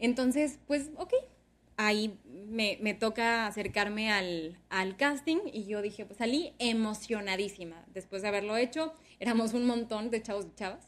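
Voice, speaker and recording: In a very clean recording with a silent background, a woman speaks fairly slowly in a normal speaking voice at a fairly high pitch, with ordinary pitch variation and big swings in loudness. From Sonora, Mexico (Ciudad Obregón). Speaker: communications professional and former radio/TV presenter. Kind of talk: interview.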